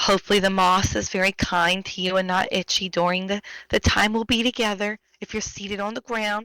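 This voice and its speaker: This woman has a bright, sharp tone at a medium pitch and speaks at a fairly quick pace. Her intonation is monotone and flat, and the sound is dry and close with no echo. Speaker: storytime reader. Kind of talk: casual chat.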